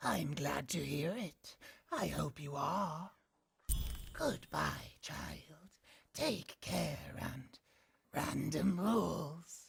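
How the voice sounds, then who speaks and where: In a put-on character voice with a low-to-middle pitch, the speaker goes at a very slow pace with long, frequent pauses. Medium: video game. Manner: solemn, measured.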